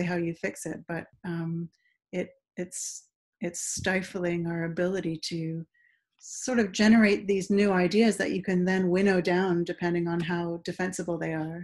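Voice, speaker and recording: The delivery moves at a moderate pace with monotone, flat intonation. The background is quiet. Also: woman. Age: 40s. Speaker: science writer; interview guest. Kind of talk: casual interview. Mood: thoughtful, conversational. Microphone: video call.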